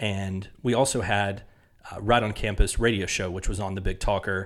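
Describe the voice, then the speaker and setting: Speaking at a moderate pace with a Southern US accent, a man with a fairly low voice is heard in a very clean recording over a silent background. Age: 30s. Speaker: podcast host. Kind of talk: solo monologue, podcast intro. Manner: conversational, earnest.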